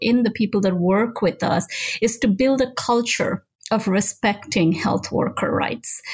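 Somewhat breathy and fairly high-pitched, a woman speaks at a moderate pace with ordinary pitch variation. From Nigeria. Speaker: health and human rights lawyer. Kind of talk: interview.

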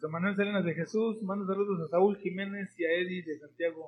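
Speaking at a fairly quick pace, a man keeps his high voice monotone and flat. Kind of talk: interview and casual chat. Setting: studio, streamed live on Facebook.

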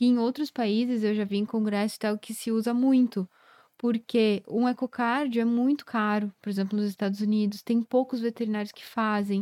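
A woman with a fairly high pitch and a dark, mellow tone speaks in a monotone, flat way at a moderate pace, in a very clean recording with a silent background and a dry, close sound with no echo. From southern Brazil, Rio Grande do Sul (Carlos Barbosa, Serra Gaúcha). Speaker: veterinary cardiologist. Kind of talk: podcast interview.

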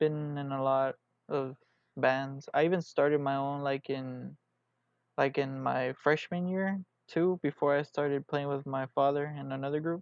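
A man with an American accent speaks fairly slowly in a flat monotone at a fairly high pitch. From Houston, Texas. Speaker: musician. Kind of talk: casual interview.

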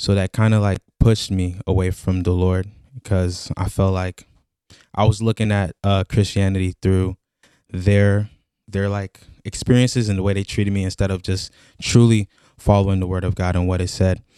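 Soft-spoken and flat in intonation, a man talks at a moderate pace in a fairly low, dark, mellow voice. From Chicago. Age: 20s. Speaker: mission team member. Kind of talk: testimony.

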